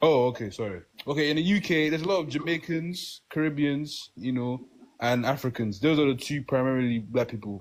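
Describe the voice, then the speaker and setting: In a British accent, a man speaks at a fairly quick pace. His pitch is fairly high, with ordinary pitch variation. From UK. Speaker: podcast panelist. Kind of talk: casual chat.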